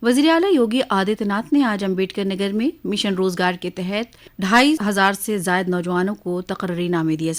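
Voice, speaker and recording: Lively intonation and hardly any pauses mark this woman's medium-pitched delivery in an ordinary speaking voice. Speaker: radio news reader. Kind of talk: radio news bulletin read.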